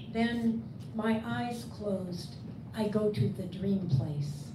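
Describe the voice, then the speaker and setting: A woman with an American accent speaks at a very slow pace, her pitch swinging very widely. Noticeable background noise sits behind her. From US. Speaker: poet and translator; poet. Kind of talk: poetry reading; book event discussion. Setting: bookstore event with audience. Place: shop. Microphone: camera far.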